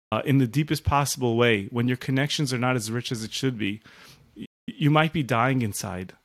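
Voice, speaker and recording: Heard on a very clean recording with a silent background, a man of medium pitch speaks at a fairly quick pace with ordinary pitch variation. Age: 40s. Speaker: rabbi and author. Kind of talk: interview conversation. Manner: halting with repeated words.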